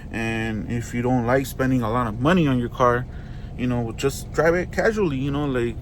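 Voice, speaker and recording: A man's medium-pitched voice at a moderate pace, with ordinary pitch variation, noticeable background noise and audible room echo. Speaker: car reviewer, YouTuber. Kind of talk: casual video review. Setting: inside a car. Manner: casual, filler-heavy.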